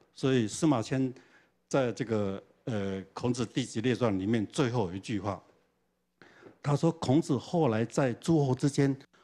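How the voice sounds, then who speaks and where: A man with a dark, mellow tone speaks fairly slowly, with long, frequent pauses. His pitch varies in an ordinary way over a quiet background. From Taiwan, Changhua; Taiwan. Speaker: professor. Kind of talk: lecture. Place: hall. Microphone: handheld.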